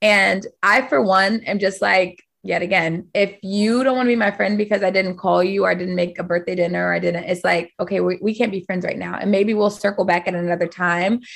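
A woman with an ordinary speaking voice talks at a fairly quick pace with hardly any pauses, a medium pitch and fairly even intonation. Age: 30s. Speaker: fitness studio owner. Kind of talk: casual chat.

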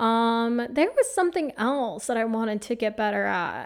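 An animated voice with an American accent moves at a fairly slow pace. The recording is very clean, with a silent background. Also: woman. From Phoenix, Arizona, US. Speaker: podcast host and life coach. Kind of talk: solo podcast monologue.

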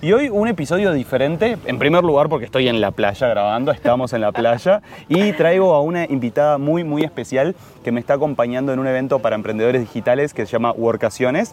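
Over noticeable background noise, a man talks fairly quickly at a fairly high pitch with lively intonation. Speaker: podcast host. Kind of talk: interview. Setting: outdoors on a beach.

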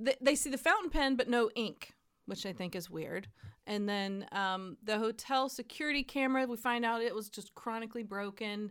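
With a normal speaking voice, a woman talks at a moderate pace, her pitch fairly high with ordinary variation, on a very clean recording with a silent background. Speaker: podcast host. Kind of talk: casual chat.

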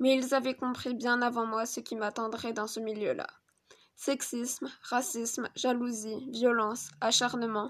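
Against a quiet background, the voice moves at a fairly slow pace with monotone, flat intonation. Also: woman. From Niger, France, Madagascar and Spain. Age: 20s. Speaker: aspiring chef. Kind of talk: personal testimony monologue.

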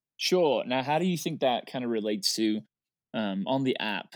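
A man speaks with an English accent and lively intonation at a moderate pace. The recording is very clean, with a silent background. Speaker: board game newcomer. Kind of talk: casual round-table chat.

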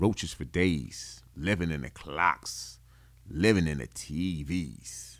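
At a very slow pace, a man speaks with very deep, low pitch, vocal fry and ordinary pitch variation. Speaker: podcast host, cigar enthusiast. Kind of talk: casual solo talk show.

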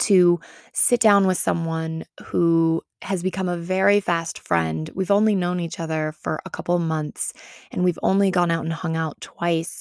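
A woman talks with a fairly low pitch and fairly even intonation. Her voice sounds dry and close, with no echo. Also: fairly slow pace, very clean recording, silent background. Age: 20s. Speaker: podcast host and wellness coach. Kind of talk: casual solo podcast monologue.

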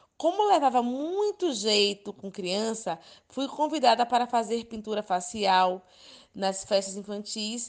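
Against a quiet background, a woman speaks fairly slowly in an unremarkable speaking voice, fairly high in pitch, with lively intonation. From Ilhéus, Bahia, Brazil. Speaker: preschool teacher and children's party entertainer. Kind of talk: interview.

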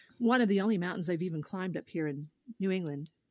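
Speaking with an American accent at a very fast pace, the voice has lively intonation, captured in a dry, close sound with no echo on a very clean recording with a silent background. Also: woman. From Oklahoma. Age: 50s. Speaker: podcast host, guest. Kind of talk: casual chat.

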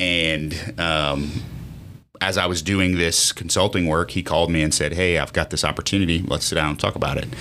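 A man's very deep, low voice at a fairly quick pace, with fairly even intonation, very even loudness and noticeable background noise. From Lafayette, Louisiana. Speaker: business owner. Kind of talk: casual interview.

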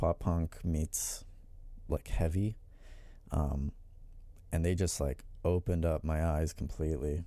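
A man's very deep, low voice, dark and mellow in tone, with fairly even intonation. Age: 20s. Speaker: deathcore guitarist. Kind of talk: casual chat.

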